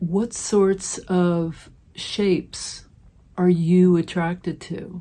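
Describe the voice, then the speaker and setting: The voice is somewhat breathy with a dark, mellow tone and fairly even intonation, on a very clean recording with a silent background. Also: woman. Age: 60s. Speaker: mixed media artist. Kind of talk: tutorial. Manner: warm, reflective.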